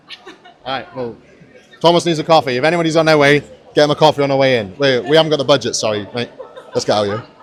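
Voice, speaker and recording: A man with a South Welsh accent and an animated tone, talking very fast yet with long, frequent pauses, ordinary pitch variation, and noticeable background noise. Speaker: podcast host and powerlifter. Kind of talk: casual vlog walkthrough. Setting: walking around a gym venue.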